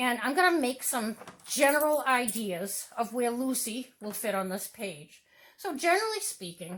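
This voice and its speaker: A woman speaks loud, with very wide pitch swings. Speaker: artist teaching a drawing demo. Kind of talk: tutorial demonstration.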